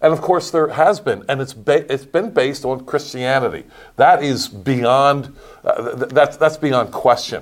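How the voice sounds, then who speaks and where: This man has an unremarkable speaking voice and an American accent. His pitch is fairly high with ordinary variation, and he talks at a fairly slow pace. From Pennsylvania, US. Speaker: pastor. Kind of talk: casual chat.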